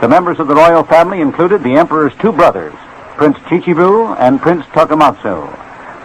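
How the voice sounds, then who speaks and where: Over noticeable background noise, a man with an American accent talks at a moderate pace with lively intonation. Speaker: radio news commentator. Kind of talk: radio news broadcast.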